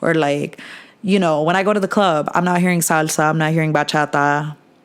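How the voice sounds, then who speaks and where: A woman with an American accent, her pitch very deep and low, talking at a very fast pace with fairly even intonation. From New Jersey, tri-state area. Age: 20s. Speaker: podcast host. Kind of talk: casual chat.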